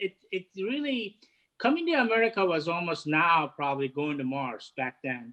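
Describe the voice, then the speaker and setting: A man speaks with a Turkish accent. His pitch swings very widely. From Turkey, Istanbul. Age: 50s. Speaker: head of hospitality catering. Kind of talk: interview. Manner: halting.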